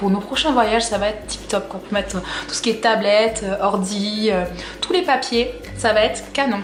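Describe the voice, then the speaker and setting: An enthusiastic woman at a fairly high pitch, with audible room echo and noticeable background noise. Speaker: fashion haul vlogger. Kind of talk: product haul video. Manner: casual, many fillers.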